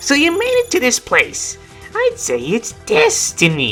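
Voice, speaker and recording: A put-on character voice, high in pitch and fairly slow, over clear background music. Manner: imitation of the boss character's voice.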